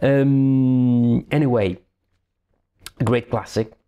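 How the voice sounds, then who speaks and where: With an Italian accent, a man speaks in a dark, mellow tone and monotone, flat intonation against a quiet background. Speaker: board game reviewer. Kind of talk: game review. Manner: halting.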